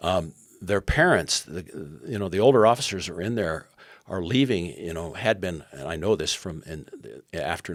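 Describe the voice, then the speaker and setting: This man's pitch is very deep and low, and his intonation is lively. He speaks at a fairly quick pace. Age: 70s. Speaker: former intelligence officer turned education activist. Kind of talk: interview conversation. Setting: podcast interview. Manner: halting, with restarts.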